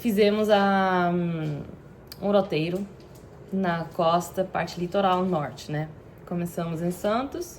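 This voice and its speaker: Here is a woman with a medium-pitched voice. Her voice is somewhat breathy. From Belgium, Antwerp (Flanders). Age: 30s. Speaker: content creator. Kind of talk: personal vlog storytelling. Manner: halting, with fillers.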